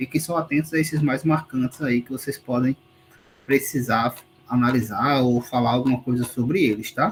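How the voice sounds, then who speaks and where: At a moderate pace, a man speaks in an ordinary speaking voice with medium pitch and fairly even intonation. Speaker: university lecturer. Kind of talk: online lecture, exam review.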